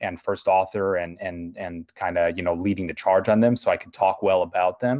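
With an American accent, a man speaks at a very deep, low pitch and a moderate pace, with fairly even intonation, hardly any pauses and big swings in loudness. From US Midwest, Chicago. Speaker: orthopedic surgeon. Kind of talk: educational interview.

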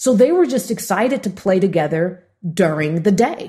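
In an American accent, a woman speaks with a dark, mellow tone, somewhat breathy, and her pitch swings very widely. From Los Angeles, US. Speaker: entrepreneur and author. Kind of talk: interview, storytelling.

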